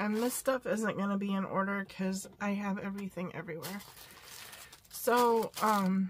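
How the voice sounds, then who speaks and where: A woman speaks at a medium pitch and moderate pace, somewhat breathy. Her intonation stays fairly even. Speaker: crafting vlogger. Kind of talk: casual haul vlog. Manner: hesitant, many fillers.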